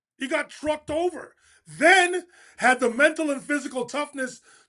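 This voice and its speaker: A man's raised, projected voice, extremely high in pitch and bright and sharp in tone, fairly slow with ordinary pitch variation. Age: 60s. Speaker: basketball commentator. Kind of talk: casual sports talk.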